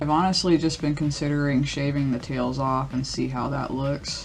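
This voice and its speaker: The speaker moves at a fairly quick pace against noticeable background noise. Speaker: beauty youtuber. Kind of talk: makeup tutorial. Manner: casual, chatty.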